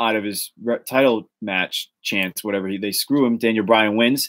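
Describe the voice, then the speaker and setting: A man of medium pitch speaks with a Boston accent in a very clean recording with a silent background. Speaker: wrestling rumor show host. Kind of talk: casual podcast chat. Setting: live stream. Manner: animated.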